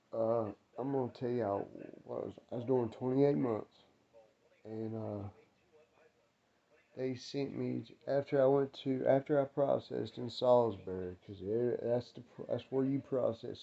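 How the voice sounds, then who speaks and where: A man with an American accent speaks quietly at a moderate pace and medium pitch, with big swings in loudness and long, frequent pauses. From North Carolina, Winston-Salem. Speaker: ex-prisoner vlogger. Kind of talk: casual storytelling vlog. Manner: casual, rambling with fillers; quiet, keeping voice down.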